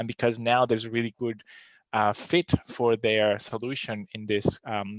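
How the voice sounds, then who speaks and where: A man with a non-native accent, medium pitch and monotone, flat intonation, in a dry, close sound with no echo over a quiet background. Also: moderate pace. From outside Australia, non-English-speaking country. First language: not English. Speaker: podcast host, data scientist. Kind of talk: live webinar Q&A. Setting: live stream. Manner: hesitant, many fillers.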